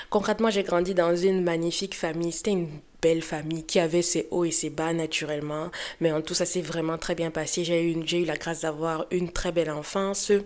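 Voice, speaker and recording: A woman in a Cameroonian accent talks at a fairly quick pace with monotone, flat intonation. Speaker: lifestyle and beauty youtuber. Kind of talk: personal storytelling vlog. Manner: casual, hesitant with fillers.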